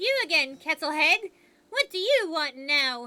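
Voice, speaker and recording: A woman puts on a character voice at an extremely high pitch. She cackles throughout. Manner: cackling, hostile.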